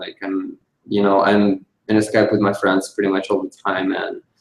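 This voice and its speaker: This man speaks with a Russian accent. His pitch is fairly low. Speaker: DJ and music producer. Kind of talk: interview.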